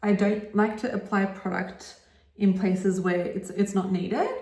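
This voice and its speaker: At a fairly slow pace, a woman talks at a medium pitch in an Australian accent. Audible room echo and noticeable background noise are present. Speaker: makeup artist. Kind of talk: tutorial. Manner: casual, chatty.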